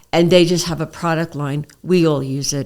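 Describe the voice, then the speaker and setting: This woman has a strong New York accent and a fairly low pitch. She talks at a moderate pace with fairly even intonation. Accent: thick New York. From New York City (Queens). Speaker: naturopath. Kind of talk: interview conversation. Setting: studio, seated across a table.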